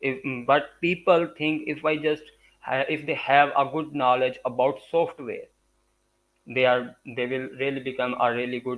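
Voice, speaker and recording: This man has a Punjabi accent and a fairly high pitch. He talks at a fairly slow pace with fairly even intonation. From Pakistan, Punjab. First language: Urdu or Punjabi. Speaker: graphic design and public speaking expert. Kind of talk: interview. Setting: live stream. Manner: halting, frequent uh fillers.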